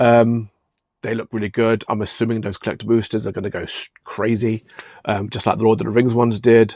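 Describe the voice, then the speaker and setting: The speaker has a British accent and a fairly quick pace, with a flat, monotone delivery in a dry, close sound with no echo. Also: man, medium pitch for a man. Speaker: card shop owner and YouTuber. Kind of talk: casual vlog rant. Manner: fast; hesitant, many ums and repeats.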